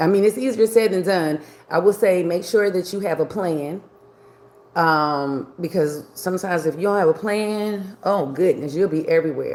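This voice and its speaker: This woman speaks with an American accent at a moderate pace. Hers is an unremarkable speaking voice at medium pitch. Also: ordinary pitch variation. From New York. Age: 60s. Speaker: livestreamer. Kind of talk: casual livestream chat. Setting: live video stream.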